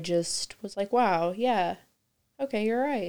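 This is a woman speaking. She has a Midwestern American accent. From Indiana, Kokomo. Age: 20s. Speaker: stay-at-home mother, cancer survivor. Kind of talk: casual chat.

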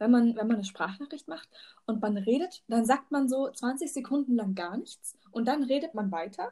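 Moving at a moderate pace, the speech has lively intonation and a dark, mellow tone. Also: woman. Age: 20s. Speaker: teaching student and podcast host. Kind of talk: casual chat. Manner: hesitant, many fillers.

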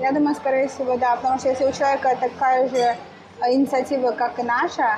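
A woman's high-pitched voice. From Russia, Kyrgyz family. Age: 30s. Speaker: vegan cafe owner. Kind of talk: interview. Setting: in her cafe.

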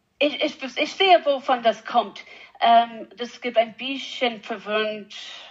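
A woman's fairly high voice in an English accent, very slow with long, frequent pauses. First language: English (speaking German). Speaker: animal geneticist. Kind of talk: interview. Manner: halting, hesitant non-native German.

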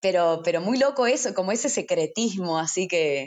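This woman's pitch swings very widely. She talks at a moderate pace. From Argentina, Salta. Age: 20s. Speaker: singer-songwriter. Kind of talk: interview. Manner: halting, many repetitions.

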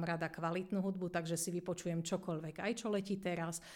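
Speaking at a fairly quick pace, a woman uses a monotone, flat intonation. Her pitch sits at medium. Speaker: English teacher, deputy head. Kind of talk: interview.

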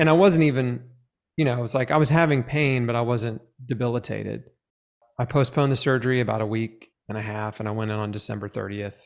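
A medium-pitched man at a very fast pace, with ordinary pitch variation. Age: 40s. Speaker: cancer survivor and author. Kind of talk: interview testimony.

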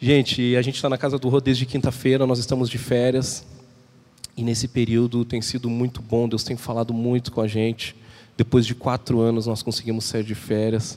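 His medium-pitched voice stays monotone and flat as this man speaks. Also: moderate pace. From southern Brazil, Porto Alegre. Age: 30s. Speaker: visiting preacher. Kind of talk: sermon. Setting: church.

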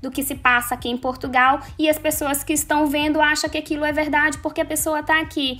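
A woman speaks at a moderate pace in a raised, projected voice, with music in the background. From Manaus, northern Brazil. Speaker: social media influencer. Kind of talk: casual interview.

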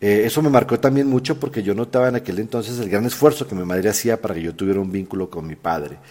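Very fast and with hardly any pauses, a man speaks in a fairly low pitch with a dark, mellow tone and lively intonation. The recording is very clean, with a silent background. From Colombia. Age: 40s. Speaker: podcast host. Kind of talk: personal storytelling monologue.

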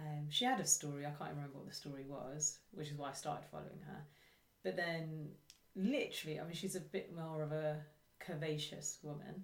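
This woman has a very deep, low pitch and a somewhat breathy voice. She talks at a fairly quick pace with ordinary pitch variation. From England, Luton. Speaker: podcast co-host. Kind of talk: casual discussion. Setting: remote call with laptop.

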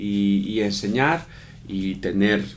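A man's fairly low voice carries audible room echo. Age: 30s. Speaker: podcast co-host. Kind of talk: casual chat. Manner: hesitant, many fillers.

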